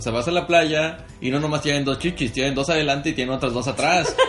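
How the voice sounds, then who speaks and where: Over noticeable background noise, a man speaks very fast at a fairly high pitch with ordinary pitch variation. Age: 20s. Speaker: podcast co-host. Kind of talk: casual chat.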